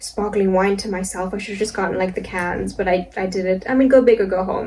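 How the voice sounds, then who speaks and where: Noticeable background noise runs behind a woman's voice. She speaks at a fairly quick pace with fairly even intonation. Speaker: vlogger and amateur comedian. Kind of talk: casual vlog monologue. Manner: soft-spoken; casual, filler-heavy.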